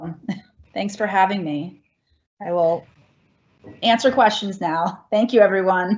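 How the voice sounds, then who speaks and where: A somewhat breathy woman with an American accent and medium pitch, at a fairly slow pace with long, frequent pauses, big swings in loudness and ordinary pitch variation. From US Northeast, Philadelphia area. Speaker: geology museum director. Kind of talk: Q&A answer.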